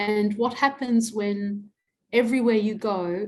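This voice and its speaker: The voice is somewhat breathy, with an Australian accent. The recording is very clean, the background silent. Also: woman. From Adelaide, South Australia. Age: 60s. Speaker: academic and activist. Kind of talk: interview.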